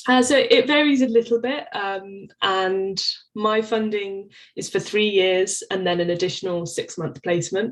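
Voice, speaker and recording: With an English accent, a woman speaks at a fairly slow pace against a quiet background. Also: medium pitch for a woman, ordinary pitch variation. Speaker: PhD researcher. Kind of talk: interview.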